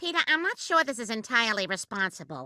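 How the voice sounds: A female-sounding cartoonish character voice races along at a very fast pace, fairly high in pitch and full of very wide pitch swings.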